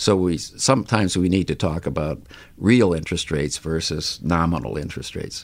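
Very deep and low, this man's voice carries vocal fry. His intonation is lively. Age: 70s. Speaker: economics professor. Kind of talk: interview. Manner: halting.

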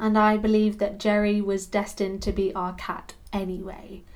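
A woman speaks at a moderate pace. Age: 30s. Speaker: podcast host, cat sitting business owner. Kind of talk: solo podcast monologue, partly scripted.

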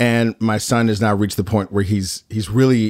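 The voice is a normal speaking voice at a moderate pace, captured in a very clean recording with a silent background. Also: man. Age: 40s. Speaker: podcast host. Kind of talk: documentary narration and interview.

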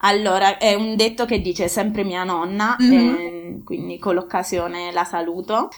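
At a fairly slow pace, a woman with an unremarkable speaking voice talks at a medium pitch with ordinary pitch variation. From Molise, Italy. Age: 30s. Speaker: aid worker. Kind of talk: casual interview.

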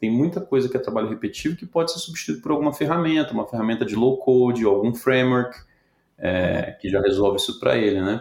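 Very fast speech from a man, full of lively intonation. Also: medium pitch for a man. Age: 40s. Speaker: tech company CEO. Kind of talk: interview.

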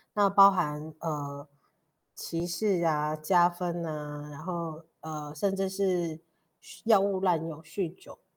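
On a very clean recording with a silent background, a woman with a fairly low pitch speaks at a very slow pace with fairly even intonation and big swings in loudness. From Taiwan, Pingtung (Paiwan). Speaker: podcast host. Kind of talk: interview conversation.

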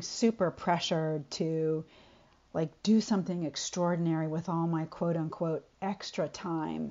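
The clip features a plain, everyday voice. Ordinary pitch variation runs through it. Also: woman. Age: 50s. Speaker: poet. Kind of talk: poetry reading.

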